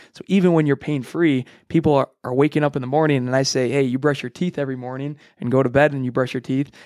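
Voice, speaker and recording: With an American accent, a man talks at a very fast pace with fairly even intonation and a fairly high pitch for a man. The recording is very clean, with a silent background and a dry, close sound with no echo. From US Midwest, Illinois. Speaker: chiropractor. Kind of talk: podcast interview. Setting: recording studio.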